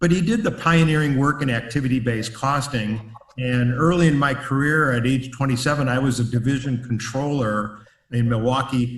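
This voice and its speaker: Room echo is audible as a man with an American accent speaks at a medium pitch. His pace is moderate and his intonation fairly even. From US Midwest, Chicago. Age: 70s. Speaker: business consultant and author. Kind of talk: webinar presentation. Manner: hesitant fillers.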